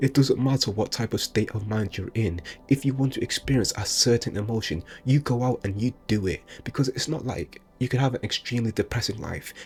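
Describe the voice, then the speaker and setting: Somewhat breathy male speech at a fairly quick pace, medium in pitch with ordinary pitch variation. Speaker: motivational speaker. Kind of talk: motivational monologue. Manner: casual, unscripted; occasional stutter.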